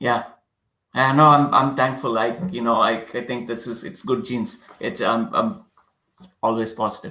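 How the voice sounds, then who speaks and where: A man speaks in a Kannada accent with a bright, sharp tone. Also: medium pitch for a man, ordinary pitch variation, moderate pace. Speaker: product design executive. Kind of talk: interview. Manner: halting, many fillers.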